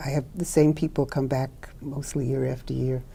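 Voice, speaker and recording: In an American accent, a woman speaks at a fairly quick pace with a very deep, low pitch, a dark, mellow tone and vocal fry. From New York City (Brooklyn). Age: 80s+. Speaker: clinical social worker. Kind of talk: interview.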